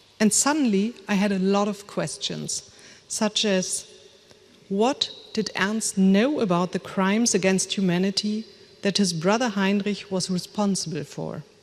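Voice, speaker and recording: This woman has a German accent. She speaks at a fairly slow pace and a medium pitch. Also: ordinary pitch variation. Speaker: author and family historian. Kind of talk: lecture read from script. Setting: lecture hall with audience and screens.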